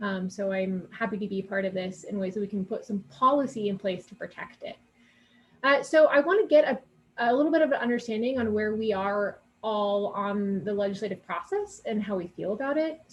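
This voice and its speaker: Somewhat breathy, a woman talks at a fairly quick pace with big swings in loudness. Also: fairly high pitch for a woman, ordinary pitch variation. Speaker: advocacy committee chair. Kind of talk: presentation. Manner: many filler words (um, uh).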